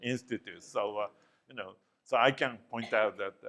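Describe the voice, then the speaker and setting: A man with a Japanese accent. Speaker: professor. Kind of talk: lecture. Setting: classroom.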